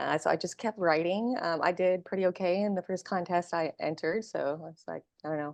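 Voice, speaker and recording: This woman has an unremarkable speaking voice with an American accent, pitched fairly low, and she talks at a fairly quick pace with hardly any pauses. Her intonation is fairly even, her loudness swings widely, and the sound is dry and close with no echo. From Vietnam-born, raised in the US from early childhood. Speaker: screenwriter. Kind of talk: interview.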